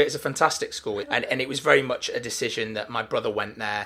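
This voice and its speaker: Here a man speaks with a Mancunian accent. His pace is very fast. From Manchester, England. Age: 30s. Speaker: talent agent. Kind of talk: casual interview. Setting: office.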